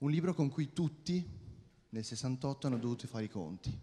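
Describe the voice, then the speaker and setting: Man with a dark, mellow tone and lively intonation. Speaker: writing student, event presenter. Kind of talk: formal introduction. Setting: stage with audience. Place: stage. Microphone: handheld.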